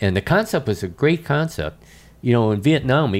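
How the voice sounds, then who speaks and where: A man with an American accent and very wide pitch swings, in a very clean recording with a silent background. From Chicago, US Midwest. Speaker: retired army general. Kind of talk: interview conversation.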